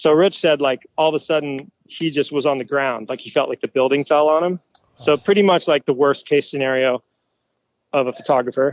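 A normal speaking voice at a fairly quick pace, fairly even in intonation, with a dry, close sound and no echo. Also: man, fairly high pitch for a man. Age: 30s. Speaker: motocross photographer. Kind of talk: casual chat.

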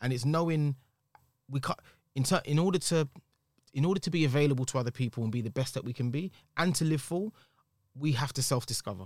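Talking very fast with long, frequent pauses, a man with a London accent uses a fairly high pitch and ordinary pitch variation in a dry, close recording with no echo. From East London. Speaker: singer-songwriter and actor. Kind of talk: casual chat. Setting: studio.

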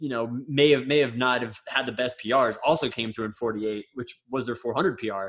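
A man with an American accent has a plain, everyday voice. He speaks at a moderate pace with medium pitch and ordinary pitch variation. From Florida. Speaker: podcast co-host, professional runner. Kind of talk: casual chat.

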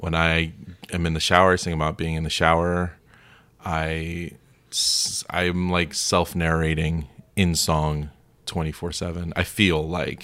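A man's very deep, low voice with an American accent, bright and sharp in tone, flat and monotone, at a fairly slow pace with long, frequent pauses. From Florida. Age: 30s. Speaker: improv performer. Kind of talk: casual chat.

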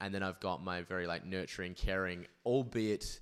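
A man speaks at a moderate pace with an Australian accent and a very deep, low pitch. The recording is very clean, the background silent, and his intonation fairly even. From Perth, Western Australia. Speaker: podcaster. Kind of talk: casual chat.

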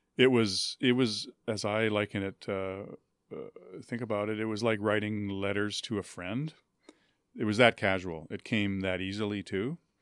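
A normal speaking voice from a man with a Canadian accent, fairly low pitch, fairly even intonation, and a moderate pace, in a very clean recording with a silent background and a dry, close sound with no echo. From Winnipeg, Canada. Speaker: author and writing professor. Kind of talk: interview. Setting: studio.

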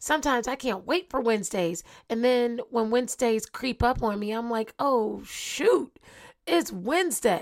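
A woman with a fairly high voice speaks at a moderate pace, animated and with lively intonation. The recording is very clean, with a silent background. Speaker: motivational podcast host. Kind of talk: motivational monologue.

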